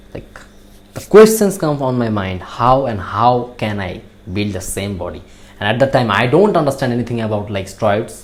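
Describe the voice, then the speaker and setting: In a Bangladeshi accent, a man at medium pitch speaks with lively intonation and big swings in loudness, with audible room echo. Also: moderate pace. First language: Bengali. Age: young. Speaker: natural bodybuilder. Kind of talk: motivational talk. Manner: halting.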